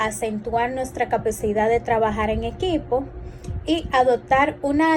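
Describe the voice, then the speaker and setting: With noticeable background noise and audible room echo, a woman speaks at a very slow pace in a fairly high pitch with lively intonation. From Dominican Republic, San Francisco de Macorís. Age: 20s. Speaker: clinical psychologist and instructor. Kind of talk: lecture. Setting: recorded class also streamed live.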